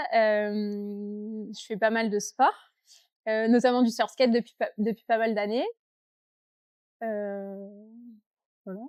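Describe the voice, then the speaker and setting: A woman with a fairly high pitch speaks at a very slow pace with long, frequent pauses. Her intonation is monotone and flat, and the sound is dry and close with no echo. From southern France, Avignon. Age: 20s. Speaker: surfskater. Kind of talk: casual interview.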